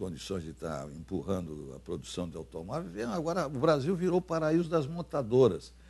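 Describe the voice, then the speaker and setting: A man speaks at a moderate pace in a dark, mellow tone with vocal fry. His loudness swings a lot, and his pitch swings very widely. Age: 80s+. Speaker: former senator. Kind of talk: interview. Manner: halting, many fillers and repetitions.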